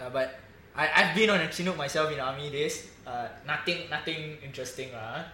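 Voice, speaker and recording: There is audible room echo around a man with a fairly high pitch. He talks at a fairly quick pace with ordinary pitch variation. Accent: Singaporean. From Singapore. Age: 20s. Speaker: football fan podcast host. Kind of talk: casual chat.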